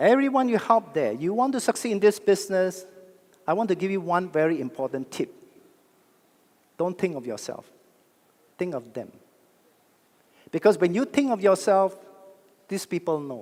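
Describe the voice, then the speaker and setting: A man's high-pitched voice at a moderate pace, with lively intonation and long, frequent pauses. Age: 60s. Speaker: network marketing speaker. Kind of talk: motivational talk. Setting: stage with audience. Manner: animated.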